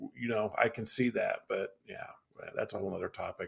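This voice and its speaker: A man's fairly quick speech in a Midwestern US accent, with ordinary pitch variation. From Butler County, Ohio. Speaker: podcast host. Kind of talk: casual chat.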